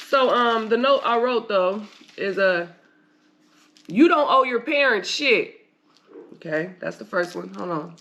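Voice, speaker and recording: A woman speaks in an animated tone with a bright, sharp quality, vocal fry, and a fairly high pitch that makes very wide swings. Her pace is fairly slow, with long, frequent pauses. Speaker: podcast host. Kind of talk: casual monologue podcast.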